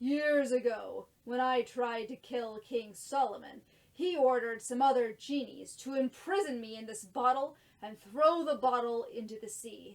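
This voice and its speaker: A woman performs a put-on character voice, pitched high and delivered at a moderate speed. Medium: read story.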